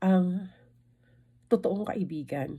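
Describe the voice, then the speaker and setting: Very slowly, a woman speaks in a dark, mellow, somewhat breathy tone. Her pitch is medium, with ordinary variation. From Philippines. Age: 50s. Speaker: vlogger. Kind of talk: casual vlog talk. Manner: halting.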